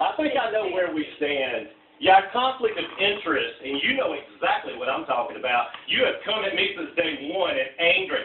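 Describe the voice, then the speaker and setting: Loud and animated, the voice moves at a moderate pace with hardly any pauses and very wide pitch swings over noticeable background noise. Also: man, high pitch for a man. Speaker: criminal defendant confronting his attorney. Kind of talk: heated argument. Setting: meeting at his home.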